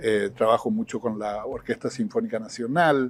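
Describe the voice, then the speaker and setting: Here is a man's voice. His pitch varies in an ordinary way. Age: 70s. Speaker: retired professor, writer and musician. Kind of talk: interview conversation. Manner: hesitant, many fillers.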